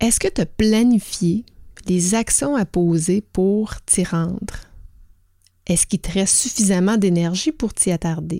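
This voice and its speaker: Female speech in a Quebec accent at medium pitch, with a dark, mellow tone, ordinary pitch variation, very even loudness, a fairly slow pace and long, frequent pauses, in a dry, close sound with no echo on a very clean recording with a silent background. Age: 40s. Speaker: podcast host and organizational culture consultant. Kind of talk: solo podcast monologue.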